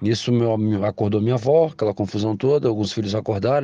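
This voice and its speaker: A man speaks at a very fast pace and a fairly low pitch. His pitch varies in an ordinary way. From Brazil, Espírito Santo (Vitória). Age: 40s. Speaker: listener sharing a story. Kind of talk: recorded personal story.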